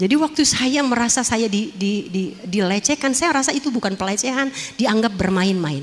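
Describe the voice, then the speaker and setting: A woman's unremarkable speaking voice, fairly high in pitch, with lively intonation, a moderate pace, hardly any pauses and very even loudness. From Jakarta, Tanjung Priok. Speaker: former dangdut singer and actress giving testimony. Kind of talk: testimony.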